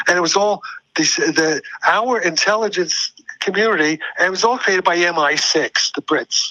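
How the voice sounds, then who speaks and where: In a New York accent, a man speaks at a high pitch and a moderate pace. The sound is dry and close, with no echo. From US Northeast (New York City, Brooklyn). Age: 80s+. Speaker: physicist. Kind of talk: interview. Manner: halting.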